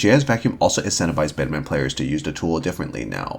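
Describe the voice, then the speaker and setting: A man's very deep, low voice with vocal fry, very wide pitch swings, and a very fast pace. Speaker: fighting game content creator. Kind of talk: scripted analysis narration.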